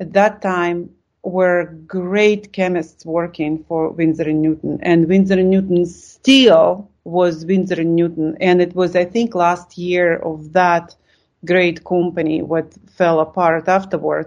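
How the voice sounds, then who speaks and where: Speaking in a Russian accent, a woman with a fairly low pitch talks at a very slow pace in a monotone, flat intonation. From Lithuania. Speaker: art supplies company co-founder. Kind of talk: interview. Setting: video call.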